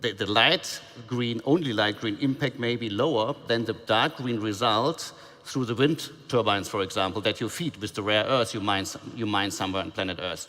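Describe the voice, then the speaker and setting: A man with a German accent, medium pitch, ordinary pitch variation and moderate pace. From Germany. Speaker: mining industry panelist. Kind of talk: panel discussion. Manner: halting, many repetitions.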